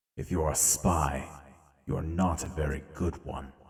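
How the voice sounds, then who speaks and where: A man puts on a raspy character voice with a very deep, low pitch. He goes at a fairly slow pace. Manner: commanding, stern.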